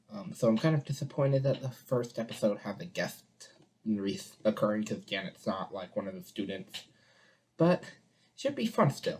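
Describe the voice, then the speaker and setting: The speaker is soft-spoken, keeping a moderate pace broken by long, frequent pauses. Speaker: reaction video creator. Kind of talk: casual reaction commentary. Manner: soft-spoken, quiet; hesitant, many fillers. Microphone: poor-quality webcam.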